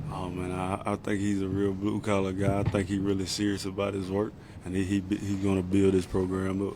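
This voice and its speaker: Over audible room echo, a man with a strong Southern US accent talks fairly quickly in a fairly low pitch with monotone, flat intonation. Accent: strong Southern accent, much remarked on. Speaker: football player. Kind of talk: press conference. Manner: casual, repetitive filler words.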